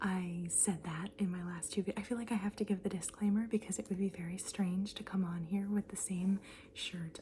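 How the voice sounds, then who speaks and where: Soft-spoken and at a medium pitch, a woman talks at a fairly quick pace in monotone, flat intonation, with noticeable background noise behind her. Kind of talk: ASMR show-and-tell, casual talk to camera. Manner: soft-spoken, chatty.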